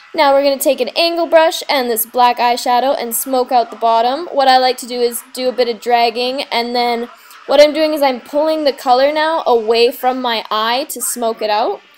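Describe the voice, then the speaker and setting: A woman talks at a moderate pace in a high pitch, with hardly any pauses. Her intonation is fairly even, and there is noticeable background noise. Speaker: makeup tutorial host. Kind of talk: casual tutorial voice-over.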